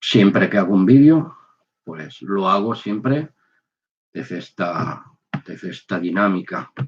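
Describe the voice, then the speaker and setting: Very slow and broken by long, frequent pauses, a man's fairly low voice shows very wide pitch swings. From Spain. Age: 60s. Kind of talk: testimony. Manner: halting, with fillers.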